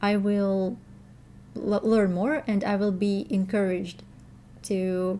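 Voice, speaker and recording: A woman with a Russian accent at a very slow pace, with long, frequent pauses, a dark, mellow tone, medium pitch, fairly even intonation and very even loudness. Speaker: language teacher and learner vlogger. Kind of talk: casual vlog update. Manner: halting, many fillers and restarts.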